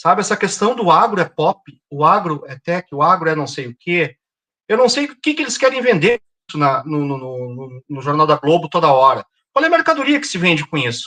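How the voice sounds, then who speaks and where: This man's voice sits high and has a bright, sharp tone, with very wide pitch swings and big jumps in loudness. The sound is dry and close, with no echo. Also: moderate pace. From southern Brazil, Porto Alegre. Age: 50s. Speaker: environmental activist. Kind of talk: interview.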